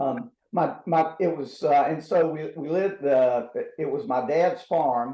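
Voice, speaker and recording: Here a man speaks at a fairly slow pace in a dark, mellow tone. His intonation is lively. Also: fairly high pitch for a man. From southeastern North Carolina, Robeson County. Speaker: former astronaut. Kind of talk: interview answers. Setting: video call. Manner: halting, many fillers and repeats.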